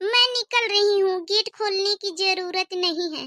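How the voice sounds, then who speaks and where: A woman does a cartoonish character voice at an extremely high pitch with fairly even intonation. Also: moderate pace. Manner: crisp standard Hindi, curt and self-assured.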